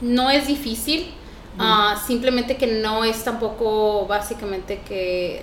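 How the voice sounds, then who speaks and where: Speaking at a fairly slow pace, a woman uses a fairly high pitch with ordinary pitch variation. Her recording has audible room echo and noticeable background noise. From Mexico, Chihuahua (near Parral). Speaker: interpreter and business owner. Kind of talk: casual interview.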